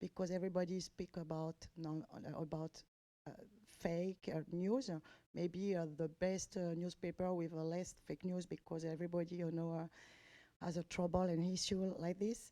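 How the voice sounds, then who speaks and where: A dark, mellow tone in a French accent, monotone and flat in intonation, at a moderate pace. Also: woman, fairly low pitch for a woman. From France. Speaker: journalist asking questions. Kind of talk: press conference question. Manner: halting, many hesitations.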